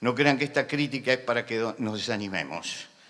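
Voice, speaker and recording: Crowd noise fills the background. Over it, a man speaks at a medium pitch and a moderate pace. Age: 70s. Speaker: pastor. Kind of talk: sermon. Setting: conference with audience. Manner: impassioned.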